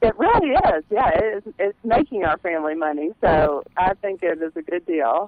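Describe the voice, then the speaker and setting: A woman with a Louisiana accent speaks at a medium pitch and a moderate pace. Her pitch swings very widely, and she hardly pauses. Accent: Southern US, Louisiana. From US South, Louisiana. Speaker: coupon blogger. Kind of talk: casual radio interview.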